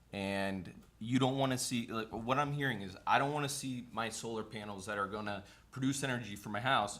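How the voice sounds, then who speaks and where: In a room with audible echo, a man speaks at a moderate pace with a medium pitch and ordinary pitch variation. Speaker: zoning board member. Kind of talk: heated debate. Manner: loud.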